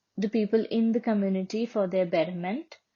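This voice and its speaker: Her pitch sits in the medium range, and her intonation is fairly even. This woman sounds somewhat breathy. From India. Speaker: social work student. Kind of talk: podcast chat.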